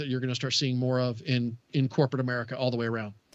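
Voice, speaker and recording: A man with a Southern US accent talks at a very fast pace. His pitch is medium and his intonation fairly even. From US South. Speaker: tech radio co-host. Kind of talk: casual chat about technology.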